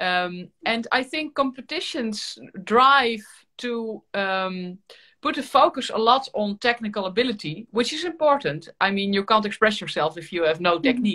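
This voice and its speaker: With a Dutch accent, a woman speaks at a fairly high pitch in a bright, sharp tone, her pitch swinging very widely over a quiet background. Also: moderate pace. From Netherlands. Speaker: violin teacher and YouTuber; host violinist. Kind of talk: casual interview chat. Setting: video call livestream. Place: home room. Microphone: webcam.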